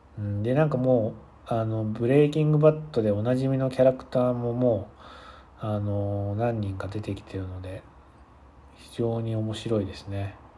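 In a relaxed tone, a medium-pitched man talks at a moderate pace with ordinary pitch variation and big swings in loudness, with audible room echo. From Japan. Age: 30s. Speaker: podcaster. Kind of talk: casual solo monologue. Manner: relaxed, filler-heavy.

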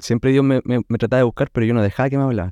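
A man speaks at medium pitch in a Chilean accent, his tone dark and mellow. The sound is dry and close with no echo against a quiet background. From Chile, Concepción area. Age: 30s. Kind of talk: testimony. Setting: recorded at guest's home.

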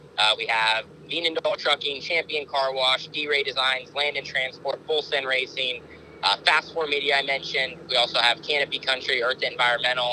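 Over noticeable background noise, a man with an American accent speaks at a moderate pace and fairly high pitch, his intonation fairly even. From Oregon, US West Coast. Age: 20s. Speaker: sprint car driver. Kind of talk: interview. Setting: in a car.

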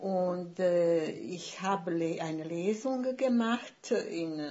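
Speaking with a Bosnian accent, a woman of medium pitch uses lively intonation. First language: Bosnian (speaking German). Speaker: writer. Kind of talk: casual chat. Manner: halting.

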